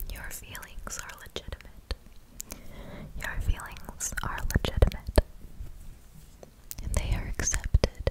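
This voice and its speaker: Someone whispers at a fairly slow pace, with long, frequent pauses over noticeable background noise. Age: young. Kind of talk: ASMR personal attention affirmations. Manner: whispered; slow, soft-spoken.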